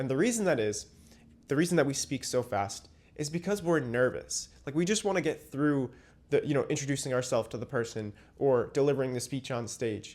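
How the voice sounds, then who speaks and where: Delivered at a fairly quick pace with lively intonation, it is a plain, everyday voice on a very clean recording with a silent background. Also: man. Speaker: communication coach and comedian. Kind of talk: casual advice monologue.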